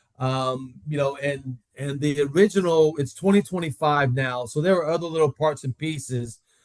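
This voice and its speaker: In a plain, everyday voice with an American accent, a man speaks at a fairly high pitch and a moderate pace with hardly any pauses, ordinary pitch variation, and a dry, close sound with no echo. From Florida, Tampa. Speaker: tool company executive. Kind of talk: casual interview.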